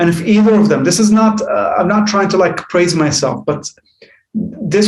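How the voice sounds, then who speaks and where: A man's high voice carries audible room echo. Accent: Arabic. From Jordan. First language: Arabic. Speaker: life coach. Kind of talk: podcast interview. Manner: halting.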